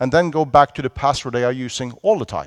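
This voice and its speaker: Lively intonation and a Norwegian accent come through on a very clean recording with a silent background and a dry, close sound free of echo. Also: man. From Norway. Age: 40s. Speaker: security conference speaker. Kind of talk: conference talk. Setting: stage with audience. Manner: animated.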